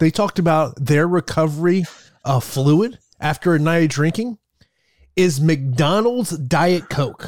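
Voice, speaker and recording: A man with a plain, everyday voice and a fairly high pitch talks with ordinary pitch variation on a very clean recording with a silent background. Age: 40s. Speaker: MMA podcast host. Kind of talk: casual chat.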